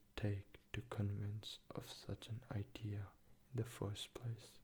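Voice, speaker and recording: Soft-spoken and whispering, the speaker talks at a very slow pace. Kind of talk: soft-spoken ASMR book reading to help sleep. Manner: soft-spoken, whispered.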